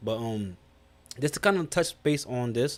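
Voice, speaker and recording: A man of medium pitch with lively intonation at a moderate pace. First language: not English. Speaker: YouTube reaction streamer. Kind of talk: live-stream reaction commentary. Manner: casual with frequent fillers and self-corrections.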